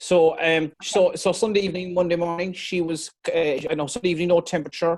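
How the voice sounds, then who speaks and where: A man speaks with an Irish accent. His pace is fairly quick and his intonation fairly even. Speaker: dairy farmer. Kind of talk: explaining a case on a video call. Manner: halting, many fillers.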